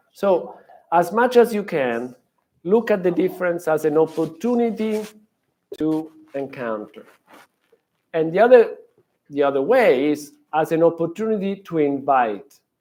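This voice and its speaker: With a strong Italian accent, a man speaks at a moderate pace in a high voice with lively intonation, broken by long, frequent pauses. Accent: heavy Italian. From Italy. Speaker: professor. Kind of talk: lecture. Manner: halting.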